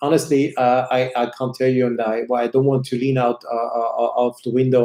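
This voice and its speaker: Speaking with a German accent, a man uses a medium pitch. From Switzerland. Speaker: watch channel host. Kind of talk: live stream chat answering viewer questions. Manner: hesitant, many fillers and repetitions; slower in English than his usual pace.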